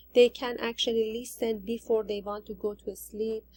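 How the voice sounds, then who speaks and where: Her voice fairly high in pitch, the woman speaks with a monotone, flat intonation. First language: not English. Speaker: ESL teacher in training. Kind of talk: recorded assignment presentation. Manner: halting.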